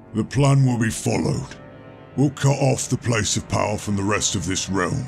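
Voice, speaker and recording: Over faint background music, a man uses a put-on character voice with a fairly low pitch at a moderate pace. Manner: menacing, commanding.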